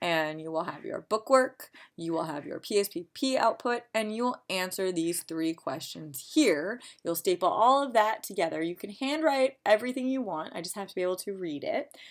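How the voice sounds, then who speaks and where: In a very clean recording with a silent background, a woman at a medium pitch speaks with hardly any pauses, very wide pitch swings and big swings in loudness. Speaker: college psychology instructor. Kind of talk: tutorial. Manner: fast.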